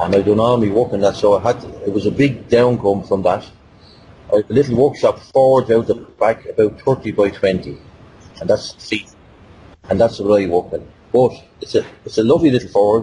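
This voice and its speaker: A man with a Dublin accent, somewhat breathy, at a fairly quick pace with ordinary pitch variation, long, frequent pauses, and light background noise. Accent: Dublin Irish. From Dublin, Ireland. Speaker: blacksmith. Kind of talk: interview answer. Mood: relaxed, candid. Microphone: video call.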